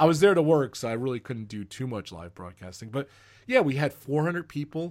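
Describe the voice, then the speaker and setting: Over a silent background in a very clean recording, a man talks at a fairly quick pace with lively intonation. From New Jersey, US. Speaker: live streamer and Disney fan. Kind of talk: casual interview chat.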